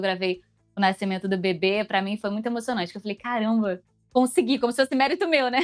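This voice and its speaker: A woman talks very fast at a fairly high pitch with ordinary pitch variation. The sound is dry and close with no echo, and music plays in the background. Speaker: voice actress. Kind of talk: interview.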